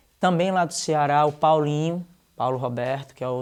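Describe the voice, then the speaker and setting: On a very clean recording with a silent background, a man with an unremarkable speaking voice and fairly high pitch talks at a fairly quick pace with fairly even intonation. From Recife, Pernambuco, Brazil. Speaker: dancer and musician. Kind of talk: interview. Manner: casual.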